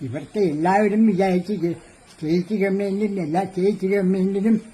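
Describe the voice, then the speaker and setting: Noticeable background noise surrounds a man's voice. His pitch is high and his intonation fairly even. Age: 80s+. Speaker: yoga teacher. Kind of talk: interview.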